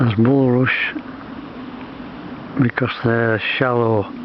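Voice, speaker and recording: Amid noticeable background noise, a man speaks at a very slow pace and a medium pitch. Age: 80s+. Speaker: nature vlogger. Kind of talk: casual walking vlog narration. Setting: outdoors. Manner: halting.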